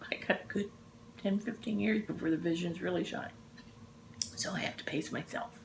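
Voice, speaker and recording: A woman with a fairly low voice and an American accent speaks with very wide pitch swings and long, frequent pauses. Background noise is noticeable. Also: fairly quick pace. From Texas, Dallas. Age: 60s. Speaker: cross-stitch vlogger. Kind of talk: casual chat. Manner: animated.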